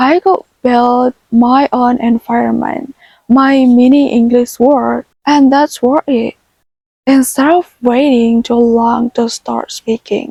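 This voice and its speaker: Recorded dry and close with no echo, a woman with a non-native accent speaks very slowly in a high pitch and a dark, mellow tone, with ordinary pitch variation. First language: not English. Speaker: self-taught English learner. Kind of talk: casual talk to camera. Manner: gentle, soft-spoken.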